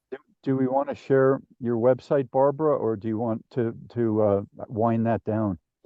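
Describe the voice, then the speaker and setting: A man's ordinary speaking voice at a medium pitch, with an American accent, fairly even intonation and a moderate pace. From New Jersey. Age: 60s. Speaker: podcast host. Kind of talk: interview conversation.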